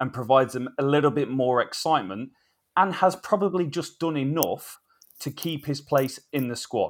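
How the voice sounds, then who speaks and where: A man with an English accent, fairly high in pitch, lively in intonation, at a moderate pace. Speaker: cricket podcast co-host. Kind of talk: casual chat.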